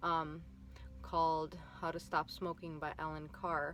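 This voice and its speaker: With a Minnesotan accent, a woman speaks at a fairly slow pace. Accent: Minnesota. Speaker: vlogger. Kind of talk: personal vlog testimony. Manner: hesitant, many fillers.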